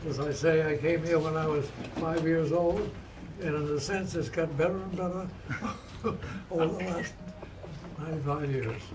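A man with a fairly high pitch speaks at a moderate pace, leaving long, frequent pauses. His intonation is fairly even, and noticeable background noise is present. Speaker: war veteran. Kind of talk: birthday speech. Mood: warm, humble, gently humorous. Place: home room. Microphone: camera far.

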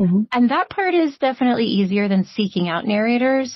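A woman speaks with a Mid-Atlantic American accent. Her voice is somewhat breathy. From Maryland. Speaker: audiobook narrator. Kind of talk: interview answer. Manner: casual, conversational.

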